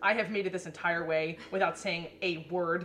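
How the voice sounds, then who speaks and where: Over noticeable background noise, a woman with an American accent speaks at a fairly low pitch. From Connecticut, US. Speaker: law student. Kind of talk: casual chat. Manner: animated, laughing often.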